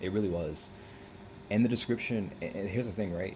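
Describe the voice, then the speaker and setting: A man's somewhat breathy voice, dark and mellow in tone, at a fairly quick pace with ordinary pitch variation. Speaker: gaming streamer. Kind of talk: live stream commentary. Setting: live stream at computer. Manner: halting, self-interrupting; fast casual filler-heavy.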